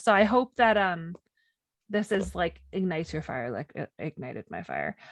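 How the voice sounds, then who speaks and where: A woman speaks with vocal fry and big swings in loudness. The sound is dry and close, with no echo. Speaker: podcast co-host. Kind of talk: casual chat. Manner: animated.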